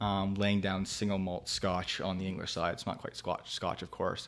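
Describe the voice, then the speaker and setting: This is a normal speaking voice with a Canadian accent. The pace is moderate. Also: man. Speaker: whisky distillery founder. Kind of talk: casual chat.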